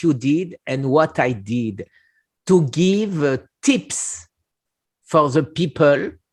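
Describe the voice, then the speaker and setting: Over a silent background in a very clean recording, a man with a French accent speaks very slowly at a fairly high pitch with lively intonation. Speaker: cancer survivor, channel host. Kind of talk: casual interview conversation. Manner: halting.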